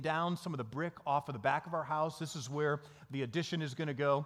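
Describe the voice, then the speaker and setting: This man has an Upper Midwest US accent. His voice sits fairly high in pitch. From Michigan, small town. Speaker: pastor. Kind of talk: sermon.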